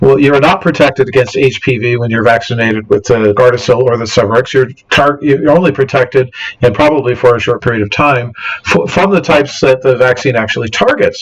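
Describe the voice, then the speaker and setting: Noticeable background noise sits behind a man talking at a very fast pace. His pitch is medium with ordinary variation. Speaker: science podcast host. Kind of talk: presentation with slides. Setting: home studio, livestream on battery power. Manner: halting, many fillers and restarts.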